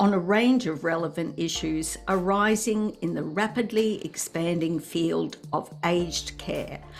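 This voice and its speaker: With music in the background, a woman speaks at a fairly slow pace with ordinary pitch variation. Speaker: podcast host. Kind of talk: podcast introduction.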